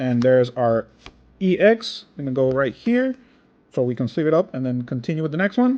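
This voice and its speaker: Lively intonation marks a man's ordinary speaking voice, which sits at a fairly high pitch. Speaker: card opening YouTuber. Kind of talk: casual commentary while opening packs.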